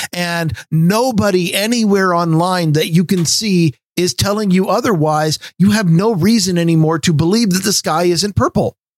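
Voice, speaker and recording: Speaking with an American accent, a man with a high pitch keeps a moderate pace, ordinary pitch variation and very even loudness in a dry, close sound with no echo. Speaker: podcast host. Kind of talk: casual chat.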